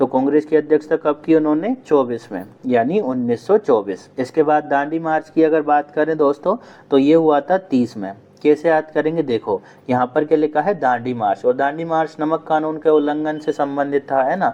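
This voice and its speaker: Dark and mellow in tone, this man's voice is fairly high-pitched with ordinary pitch variation. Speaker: online exam-prep teacher. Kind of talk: tutorial. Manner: conversational, addresses viewers as friends.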